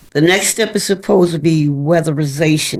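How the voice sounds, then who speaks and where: A woman speaks with a very deep, low pitch and ordinary pitch variation. Her pace is fairly slow. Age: old. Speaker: homeowner. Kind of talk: interview testimony.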